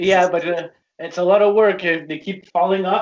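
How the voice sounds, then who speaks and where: The speaker is a man with a French Canadian accent. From Quebec. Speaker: toy collector. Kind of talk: casual interview chat.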